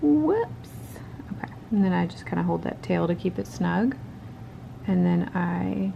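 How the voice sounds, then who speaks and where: Long, frequent pauses break up a woman's fairly slow speech. Noticeable background noise can be heard. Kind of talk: casual talk to camera, crochet tutorial. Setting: home recording with poor audio and a clicking noise. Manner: rambling, conversational.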